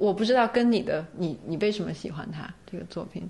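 A woman's fairly quick speech shows ordinary pitch movement against noticeable background noise. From China. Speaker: doctoral student and freelance writer. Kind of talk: casual chat.

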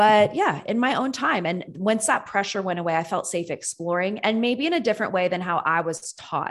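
A woman's medium-pitched, unremarkable speaking voice, fairly quick with hardly any pauses and lively intonation, on a very clean recording with a silent background. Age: 30s. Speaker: nurse and health coach. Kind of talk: interview.

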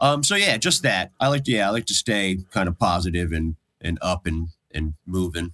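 A man with an American accent and a very deep, low pitch speaks at a moderate pace in a bright, sharp tone, recorded with a dry, close sound and no echo. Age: 50s. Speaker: drummer. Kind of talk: casual chat. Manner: casual, swears a lot.

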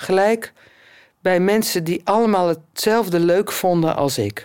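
Very slowly, a woman speaks at a fairly low pitch in a very clean recording with a silent background. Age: 50s. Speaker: blind musician and choir conductor. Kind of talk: casual interview talk.

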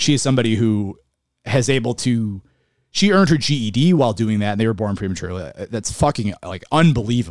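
With a Western New York accent, a man speaks fairly quickly at medium pitch with lively intonation, on a very clean recording with a silent background. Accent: Western New York (Inland North) American. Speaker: podcast co-host. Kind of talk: casual chat. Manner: animated.

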